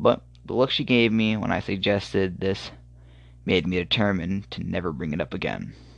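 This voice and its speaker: Against a quiet background, a man talks at a moderate pace with a very deep, low pitch and vocal fry. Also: ordinary pitch variation. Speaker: horror story podcaster. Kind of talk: reading aloud. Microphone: phone recording, poor equipment.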